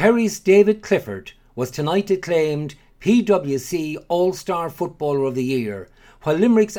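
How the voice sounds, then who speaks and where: With an Irish accent, a man speaks at a moderate pace in a high, dark, mellow voice whose pitch swings very widely. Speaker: Gaelic games commentator. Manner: measured, formal, clear; steady rhythm with short pauses between names and awards.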